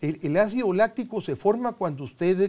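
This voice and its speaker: A man's dark, mellow tone at a moderate pace, with very wide pitch swings. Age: 70s. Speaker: sports medicine doctor; guest. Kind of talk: interview. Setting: studio. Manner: halting. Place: studio. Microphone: lapel.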